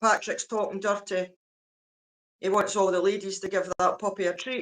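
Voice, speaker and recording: In a Scottish accent, a woman speaks at a medium pitch in a monotone, flat intonation. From Scotland. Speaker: livestreamer. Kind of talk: casual chat. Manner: slow.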